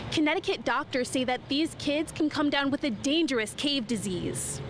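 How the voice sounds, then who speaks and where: A woman with an American accent speaks at a moderate pace in a high pitch, her pitch rising and falling in an ordinary way. Her loudness stays very even, with music playing in the background. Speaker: TV reporter / multimedia journalist. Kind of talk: TV news reporter package.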